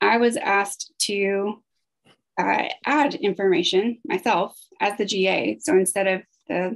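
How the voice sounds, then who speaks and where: Against a quiet background, a woman talks with lively intonation and vocal fry. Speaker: grant project staff. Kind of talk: conference presentation. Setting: video call. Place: home room. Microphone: video call.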